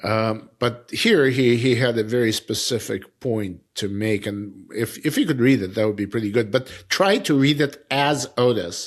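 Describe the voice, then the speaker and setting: Recorded very cleanly with a silent background, a man speaks at a fairly slow pace with ordinary pitch variation. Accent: Russian. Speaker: editor and publisher of a cancer news publication. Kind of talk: casual discussion. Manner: halting, repeats words.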